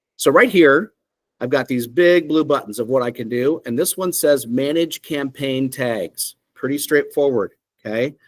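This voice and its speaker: A man uses a plain, everyday voice at a fairly high pitch, with ordinary pitch variation and a moderate pace. The sound is dry and close, with no echo. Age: 50s. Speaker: software company CEO. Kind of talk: software demo presentation. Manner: casual, conversational with fillers.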